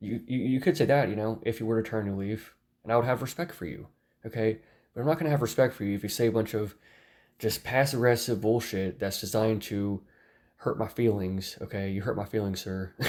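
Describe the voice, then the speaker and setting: On a very clean recording with a silent background, a man talks at a very fast pace with a medium pitch and ordinary pitch variation. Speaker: YouTube commentator. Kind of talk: rant to camera. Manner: repetitive, halting.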